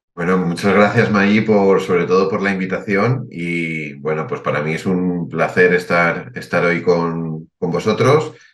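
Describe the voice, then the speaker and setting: A man with a Spanish accent talks with hardly any pauses, his very deep, low pitch moving with ordinary variation. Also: fairly slow pace. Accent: Spanish (Spain). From Spain. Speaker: writer and financial advisor. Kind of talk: podcast interview.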